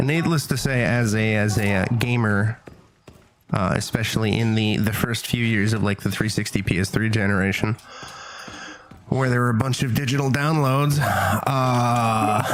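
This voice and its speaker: Noticeable background noise sits under speech that keeps a moderate pace, ordinary pitch variation and very even loudness. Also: man, medium pitch for a man. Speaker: gaming streamer. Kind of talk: casual chat.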